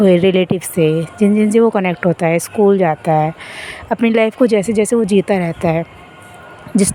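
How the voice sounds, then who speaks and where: Against noticeable background noise, a woman speaks breathily at medium pitch and a moderate pace, with ordinary pitch variation. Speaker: spiritual guide. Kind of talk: spiritual self-help talk. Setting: outdoors, walking. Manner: breathy, recorded while walking; unscripted, casual.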